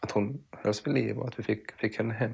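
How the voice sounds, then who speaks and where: A man's voice with vocal fry. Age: 30s. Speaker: podcast host. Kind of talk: casual interview conversation. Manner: halting, many repetitions.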